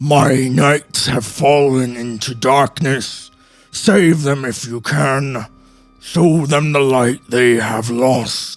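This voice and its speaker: A man speaks very slowly in a put-on character voice at a medium pitch, with faint music in the background. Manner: ominous, pleading.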